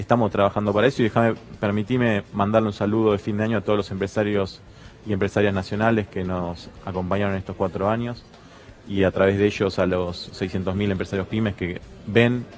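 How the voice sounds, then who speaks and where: Over noticeable background noise, a man speaks fairly quickly in a fairly low pitch with a flat monotone. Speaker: small business association representative. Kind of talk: TV panel discussion.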